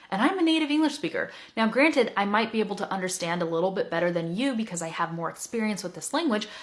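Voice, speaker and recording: A woman talks at a very fast pace with hardly any pauses, her fairly high voice making very wide pitch swings in an animated tone. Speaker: English teacher. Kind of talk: teaching talk to learners.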